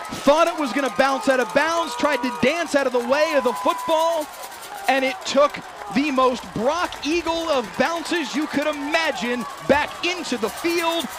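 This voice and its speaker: With noticeable background noise, a man with an extremely high pitch talks at a fairly slow pace and ordinary pitch variation. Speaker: sports play-by-play announcer. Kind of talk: football play-by-play broadcast demo.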